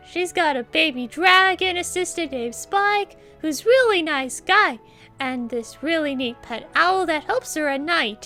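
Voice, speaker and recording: A woman's put-on character voice, cheerful and extremely high, at a moderate pace with very wide pitch swings and faint music in the background. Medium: audio drama. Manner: cheerful, giggly.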